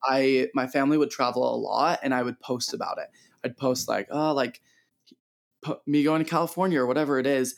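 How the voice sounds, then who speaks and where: Here a man talks at a fairly quick pace in a plain, everyday voice. His pitch is fairly high, with ordinary pitch variation. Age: 20s. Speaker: photographer. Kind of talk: casual interview.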